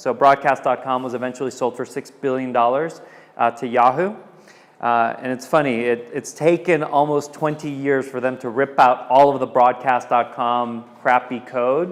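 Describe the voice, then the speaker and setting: With a Californian accent, a man at medium pitch speaks at a moderate pace and fairly even intonation. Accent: Californian American English. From Southern California. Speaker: tech entrepreneur. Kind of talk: presentation. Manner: casual with many fillers.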